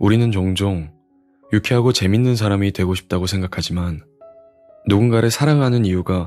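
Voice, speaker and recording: Music plays behind a man speaking at a fairly quick pace in a fairly low voice. His tone is calm and relaxed, with ordinary pitch variation. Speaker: audiobook reader. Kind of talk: audiobook reading for sleep. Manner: calm, relaxed.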